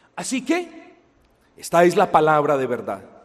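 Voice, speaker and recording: Very wide pitch swings mark this very slow delivery, heard with audible room echo. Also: man. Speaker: preacher. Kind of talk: sermon. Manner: loud, raised voice at times.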